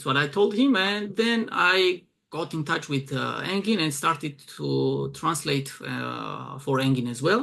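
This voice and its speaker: A man with a Georgian accent at a fairly slow pace, with hardly any pauses. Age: 20s. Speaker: arm wrestling event promoter and translator. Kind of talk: casual interview. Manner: hesitant, many fillers.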